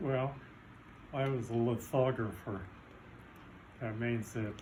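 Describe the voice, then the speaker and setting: A man with an American accent speaks at a very slow pace in a medium pitch. His delivery is monotone and flat, and somewhat breathy. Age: 80s+. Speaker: Navy veteran. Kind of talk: interview answer. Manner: casual, reminiscing.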